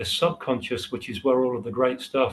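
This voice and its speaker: Slight breathiness marks this man's voice. His pitch sits in the middle range. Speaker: hypnotherapy trainer. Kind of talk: interview. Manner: hesitant, many fillers.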